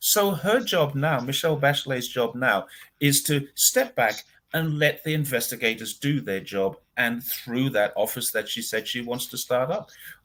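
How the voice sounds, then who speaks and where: At a moderate pace, a man with a fairly high pitch speaks in a bright, sharp tone with vocal fry and very wide pitch swings. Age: 60s. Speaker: commentator on China. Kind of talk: casual chat. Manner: animated.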